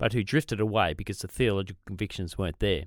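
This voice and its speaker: With an Australian accent, a man talks very fast at a fairly low pitch on a very clean recording with a silent background. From Australia, south of Sydney. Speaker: podcast co-host, ministry leader. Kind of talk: casual chat.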